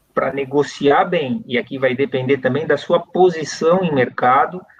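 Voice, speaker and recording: The speaker, with a Brazilian accent, talks at a fairly slow pace. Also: man. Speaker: company CEO. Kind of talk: interview. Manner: hesitant fillers, repeated words.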